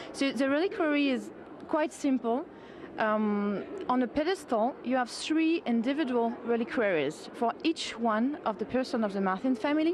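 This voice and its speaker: A woman with a French accent speaks at a moderate pace in a high pitch, with lively intonation, very even loudness and noticeable background noise. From France. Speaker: sculptor. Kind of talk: TV interview.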